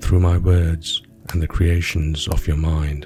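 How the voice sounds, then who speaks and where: A man's very deep, low voice at a fairly slow pace, his intonation fairly even, with music in the background. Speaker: storyteller, sleep story narrator. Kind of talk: sleep story narration, calm storytelling. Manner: soothing, relaxed.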